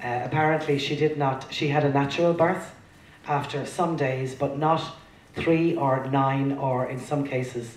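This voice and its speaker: A woman's very deep, low voice at a fairly slow pace with fairly even intonation, audible room echo and noticeable background noise. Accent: Irish. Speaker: traditional singer. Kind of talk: introducing songs at a live performance. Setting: stage with audience.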